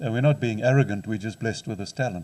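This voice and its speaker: A man talks with a dark, mellow tone, somewhat breathy, with lively intonation. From South Africa. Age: 60s. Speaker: counselling psychologist and lecturer. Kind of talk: lecture.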